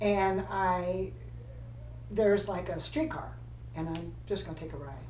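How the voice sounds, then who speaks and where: A woman speaks at a fairly slow pace with big swings in loudness, with audible room echo and noticeable background noise. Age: 80s+. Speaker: retired flight attendant. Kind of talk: casual chat. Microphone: poor sound quality.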